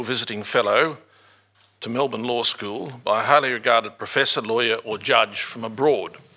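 Over a quiet background, a bright, sharp voice moves at a fairly quick pace with fairly even intonation. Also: man. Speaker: event host. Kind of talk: formal welcome speech. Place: hall. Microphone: podium.

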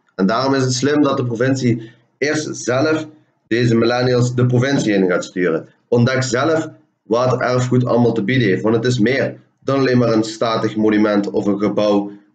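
A man at a moderate pace with ordinary pitch variation, in audible room echo over a quiet background. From Hoensbroek, Limburg, Netherlands. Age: 20s. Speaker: communication student presenting thesis. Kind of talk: presentation of project findings. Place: home room. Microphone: webcam.

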